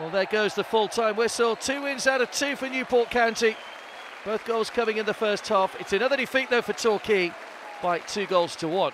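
Crowd noise runs in the background as a man speaks at a moderate pace. His pitch is high, with ordinary pitch variation. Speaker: football commentator. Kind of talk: live football commentary highlights. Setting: match commentary over highlights reel. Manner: stats-laden, brisk, informative.

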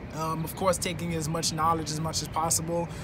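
Music plays in the background. A man speaks in a monotone, flat way. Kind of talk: interview answer. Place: stadium. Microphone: phone near.

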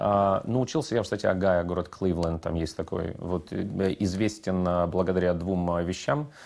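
Speaking at a fairly slow pace, a man with a very deep, low pitch uses ordinary pitch variation. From Ukraine, Odesa; Ukraine. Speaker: radio producer and host; radio producer, host. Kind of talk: interview. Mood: relaxed, anecdotal. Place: studio. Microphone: lapel.

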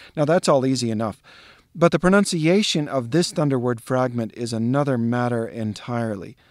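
This is a man with an unremarkable speaking voice and an American accent. His medium-pitched voice has lively intonation. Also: fairly quick pace. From US Southwest. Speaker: actor and literature educator. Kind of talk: tutorial.

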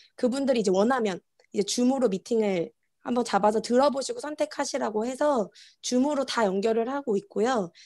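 Against a quiet background, a woman speaks in a fairly high voice with ordinary pitch variation. Her tone is dark and mellow. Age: 30s. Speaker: network marketing distributor; conference presenter. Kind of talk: interview answers on video conference. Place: home room. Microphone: earbuds.

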